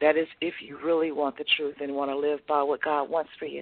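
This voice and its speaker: A woman is speaking. Her pace is moderate. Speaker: caller. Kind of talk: personal testimony. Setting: phone call.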